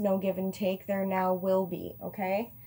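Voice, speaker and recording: Delivered at a fairly slow pace, the voice has a dark, mellow tone. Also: woman. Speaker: tarot reader. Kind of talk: tarot reading to camera. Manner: slurring; casual, hesitant with fillers.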